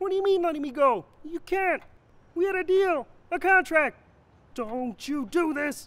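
A high-pitched cartoonish character voice moves at a moderate pace, broken by long, frequent pauses. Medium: puppet show. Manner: shocked, pleading.

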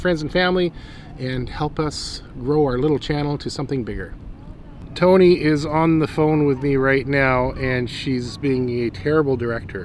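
Light background noise accompanies the recording, which sounds dry with no echo. A man talks at a moderate speed. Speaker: travel vlogger. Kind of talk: casual vlog chat. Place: waterside.

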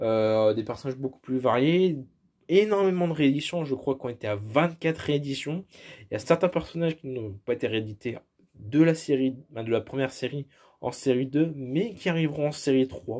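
Against a quiet background, a man speaks at a moderate pace in a fairly high voice with a dark, mellow tone. His intonation is lively. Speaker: YouTuber presenting his toy collection. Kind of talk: casual collection showcase monologue; casual collection showcase commentary. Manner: hesitant, many fillers. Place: home room. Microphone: phone near.

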